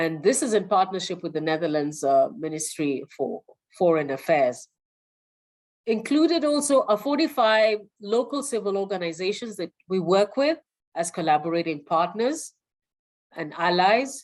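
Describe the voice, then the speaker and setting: Her pitch sits in the medium range and swings very widely. The woman talks at a moderate pace. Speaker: webinar presenter. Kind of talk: webinar presentation.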